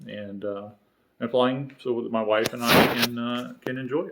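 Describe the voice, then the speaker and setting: This man has a Southern US accent. He talks at a fairly slow pace. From North Carolina (Charlotte), earlier St. Louis. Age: 50s. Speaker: homebuilt aircraft builder, video series host. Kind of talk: casual vlog introduction. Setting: home workshop. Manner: halting, many fillers and repetitions.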